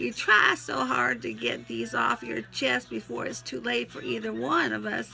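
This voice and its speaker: A woman's put-on character voice in a Southern US accent, very deep and low in pitch and raspy, at a moderate pace with hardly any pauses, over light background noise. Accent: Southern US twang. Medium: solo performance. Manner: folksy, sentimental, interrupted by sneezes.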